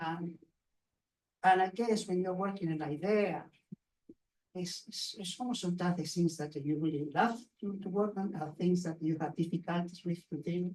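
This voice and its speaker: Speaking in a non-native accent, a man keeps a high pitch and fairly even intonation at a moderate pace, with long, frequent pauses. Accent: foreign. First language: not English. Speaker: graphic novelist and award judge. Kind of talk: panel discussion. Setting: bookshop event with audience. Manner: halting.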